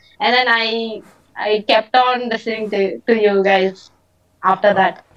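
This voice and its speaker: A woman with an Indian accent, at a fairly slow pace. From India, Tamil Nadu. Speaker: listener calling in. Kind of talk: casual chat. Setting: video call.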